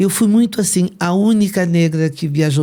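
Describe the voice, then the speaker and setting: A woman's voice has a dark, mellow tone. She speaks at a moderate pace. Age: 70s. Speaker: retired English professor. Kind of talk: interview.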